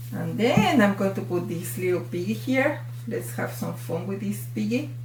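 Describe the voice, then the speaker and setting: A woman with a Mexican accent speaks at a moderate pace, with audible room echo and music in the background. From Mexico. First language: Spanish. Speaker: fluid art instructor. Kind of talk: tutorial. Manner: animated.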